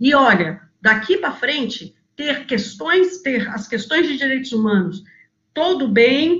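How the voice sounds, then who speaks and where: A woman talks with a high pitch and lively intonation. Her pace is moderate. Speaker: NGO executive director. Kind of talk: webinar talk.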